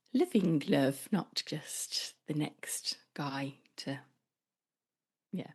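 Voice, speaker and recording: A woman with a British accent, very deep low pitch, somewhat breathy voice and lively intonation, against a quiet background. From England, North Devon. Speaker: relationship coach. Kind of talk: casual interview chat.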